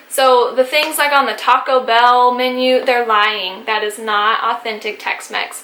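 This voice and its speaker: A woman's high voice with an American accent, fairly even intonation and hardly any pauses, over noticeable background noise. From Texas. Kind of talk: casual talk to camera.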